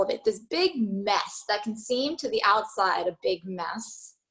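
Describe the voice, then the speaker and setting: Here is a woman with fairly high pitch speaking at a fairly slow pace. She has an ordinary speaking voice. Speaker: yoga teacher. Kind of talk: yoga class instruction.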